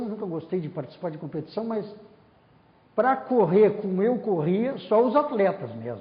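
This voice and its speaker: A man speaks at a high pitch with lively intonation. His pace is moderate. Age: 70s. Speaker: former university student and staff member. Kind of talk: oral history interview. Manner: animated.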